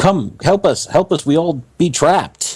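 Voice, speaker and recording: A man puts on a character voice, high-pitched and hissing, at a moderate pace. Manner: hissing, desperate.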